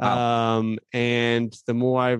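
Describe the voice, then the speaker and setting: A man with an American accent speaks in a medium pitch. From Phoenix, Arizona. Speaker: podcast host, youth minister. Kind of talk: casual interview.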